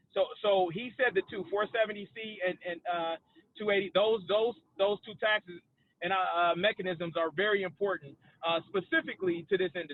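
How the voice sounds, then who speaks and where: At a moderate pace, a man with a high voice speaks with ordinary pitch variation. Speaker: cannabis business expert, panelist. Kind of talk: webinar panel discussion. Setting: video call while driving. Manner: loud.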